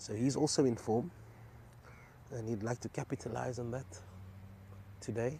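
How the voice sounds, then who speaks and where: A man's somewhat breathy, dark, mellow voice at medium pitch, with ordinary pitch variation and long, frequent pauses, on a very clean recording with a silent background. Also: moderate pace. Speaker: cricket commentator. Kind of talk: live commentary.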